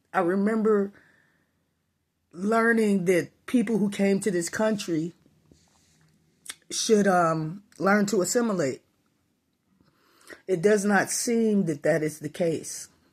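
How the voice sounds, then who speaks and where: A woman talks at a very slow pace, leaving long, frequent pauses. Her pitch sits in the medium range, with ordinary pitch variation. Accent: American. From Chicago, US Midwest. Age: 60s. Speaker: vlogger. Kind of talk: personal opinion monologue.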